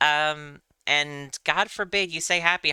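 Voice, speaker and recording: A woman's very deep, low voice carries a bright, sharp tone, recorded dry and close with no echo. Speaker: game streamer. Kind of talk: casual chat. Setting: live stream. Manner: casual, rambling with fillers.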